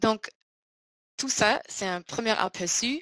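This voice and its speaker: Very slowly, a woman speaks in a German accent. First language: German (speaking French). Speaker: scholarship program presenter. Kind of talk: online information seminar presentation. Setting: online webinar. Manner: halting, many hesitations.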